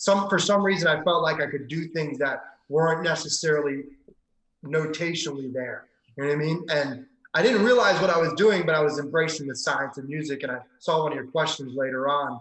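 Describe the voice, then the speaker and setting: A man speaks in an ordinary speaking voice with an American accent and a fairly high pitch. His pace is fairly quick, with ordinary pitch variation. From Maryland. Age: 30s. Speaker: pianist and piano teacher. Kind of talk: podcast interview.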